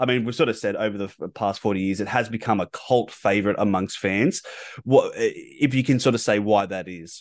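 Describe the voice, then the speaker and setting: A man with an Australian accent talks at a fairly quick pace and a fairly low pitch, with ordinary pitch variation. The background is quiet. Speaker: podcast host. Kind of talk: casual interview. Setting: remote call. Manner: halting, many fillers.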